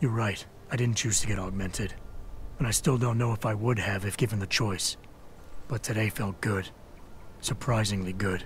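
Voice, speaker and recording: A raspy, put-on character voice moves at a moderate pace with long, frequent pauses. Background noise is clearly audible. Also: man, fairly low pitch for a man. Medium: video game. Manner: terse, gravelly.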